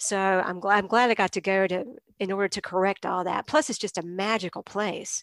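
A woman with an American accent and an unremarkable speaking voice, medium in pitch, fairly quick in pace, with fairly even intonation and a dry, close sound with no echo. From eastern North Carolina (Greenville). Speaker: novelist and university literature teacher. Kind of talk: interview. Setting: video call.

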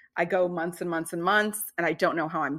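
Heard on a very clean recording with a silent background, a woman speaks in a plain, everyday voice, fairly low in pitch with ordinary pitch variation. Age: 30s. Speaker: self-care coach. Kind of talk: casual chat.

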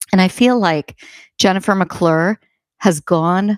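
In an American accent, a woman speaks at a fairly low pitch with ordinary variation. The recording is very clean with a silent background, and the sound is dry and close with no echo. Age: 40s. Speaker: HR consultant and author. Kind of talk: interview.

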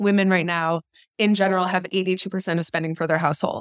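In a very clean recording with a silent background, a woman speaks with an unremarkable speaking voice at medium pitch. The sound is dry and close with no echo, and her intonation is fairly even. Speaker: startup co-founder. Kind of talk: interview.

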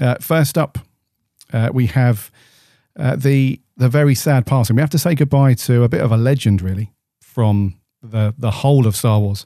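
A man speaks at a medium pitch and a moderate pace, with a dark, mellow tone and ordinary pitch variation. His loudness is very even, and the sound is dry and close with no echo over a quiet background. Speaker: podcast host. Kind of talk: casual chat.

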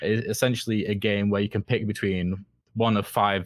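A man speaks in a flat monotone at a fairly low pitch and a moderate pace. The sound is dry and close, with no echo. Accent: Mancunian. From northern England, Manchester. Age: 20s. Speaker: game design student. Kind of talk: casual interview. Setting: remote call.

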